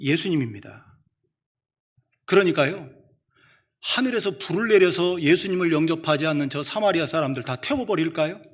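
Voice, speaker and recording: In a room with audible echo, a man speaks at a high pitch with lively intonation. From Chungcheong, South Korea. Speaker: preacher. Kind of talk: sermon.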